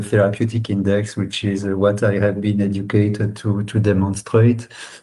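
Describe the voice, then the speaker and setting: A man talks at a moderate pace in a fairly low, monotone, flat voice. Noticeable background noise is present. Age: 50s. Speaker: biotech investor. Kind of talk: interview. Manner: halting.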